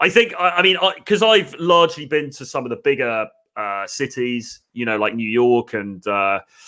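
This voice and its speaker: A man with a British accent talks at a moderate pace at medium pitch, his bright, sharp voice showing very wide pitch swings and big swings in loudness. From England. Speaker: dating coach and live stream host. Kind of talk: casual live stream chat. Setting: online live stream.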